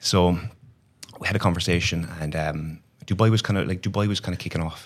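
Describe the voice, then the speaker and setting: A man speaks with an Irish accent at a very deep, low pitch. His delivery is fairly quick, monotone and flat. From Ireland. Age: 30s. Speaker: online fitness coach, former banker. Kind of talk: casual interview chat.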